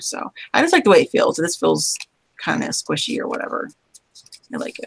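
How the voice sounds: A man puts on a hoarse, raspy, croaky character voice at a fairly quick pace, his loudness swinging widely in a dry, close sound with no echo.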